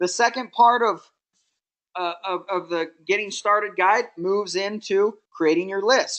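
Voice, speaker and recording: A woman talks at a fairly slow pace in an ordinary speaking voice, her pitch medium with ordinary variation, against a quiet background. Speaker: network marketing trainer. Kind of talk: training webinar.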